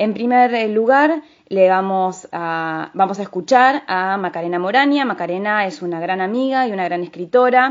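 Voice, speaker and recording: With lively intonation, a woman in a normal speaking voice talks at a medium pitch and a moderate pace. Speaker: radio host. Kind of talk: radio book review show.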